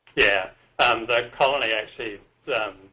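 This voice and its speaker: Here a man talks with an Australian accent. His tone is bright and sharp. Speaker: tour operator. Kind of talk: webinar presentation. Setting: webinar.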